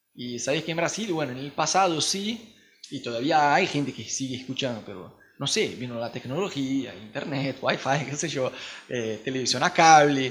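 Fairly high pitch and moderate speed from a man, an ordinary speaking voice. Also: big swings in loudness. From Brazil. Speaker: missionary podcast host. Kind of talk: casual chat.

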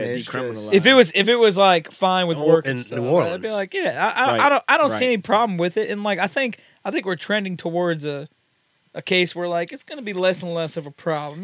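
A man with a slight Southern US accent speaks at a high pitch, with very wide pitch swings and big swings in loudness. The recording is very clean, with a silent background. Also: moderate pace. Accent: slight Southern country twang. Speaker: podcast guest. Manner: casual, storytelling.

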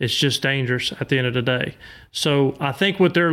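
In a Louisiana accent, a man talks at a fairly quick pace with fairly high pitch and ordinary pitch variation, in a very clean recording with a silent background. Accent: Southern US (Louisiana). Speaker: boat motor salesman and duck hunter. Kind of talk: casual chat.

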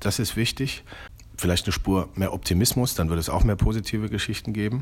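With vocal fry, a man talks at a moderate pace and a fairly low pitch, with ordinary pitch variation. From eastern Germany, Leipzig. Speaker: magazine editor-in-chief. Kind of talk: interview. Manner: halting, many fillers.

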